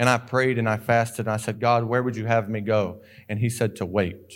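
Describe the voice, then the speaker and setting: A medium-pitched man's voice with a Southern US accent, at a fairly quick pace, with fairly even intonation. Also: very clean recording, silent background. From North Carolina (Sanford). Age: 20s. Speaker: missionary. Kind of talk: sermon. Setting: church.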